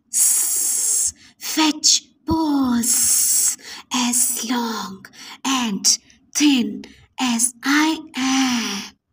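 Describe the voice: In a put-on character voice that sounds female and high-pitched, the speaker goes very slowly with long, frequent pauses over a hissing sound.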